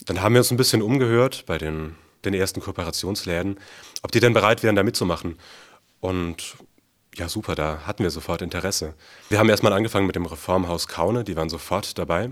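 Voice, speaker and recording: A man talks at a very fast pace with a very deep, low pitch and ordinary pitch variation, broken by long, frequent pauses. The recording is very clean and the background silent. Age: 20s. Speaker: university student and food sharing organizer. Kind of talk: interview.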